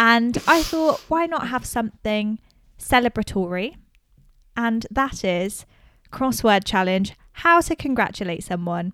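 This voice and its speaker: A woman in an ordinary speaking voice talks fairly slowly with a fairly high pitch and lively intonation, on a very clean recording with a silent background. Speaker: podcast host. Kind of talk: casual chat.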